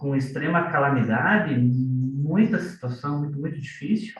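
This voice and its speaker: At a fairly slow pace, a man with a fairly high pitch speaks amid audible room echo. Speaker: business consultant, course reader. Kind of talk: online group sharing, testimony. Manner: conversational, reflective.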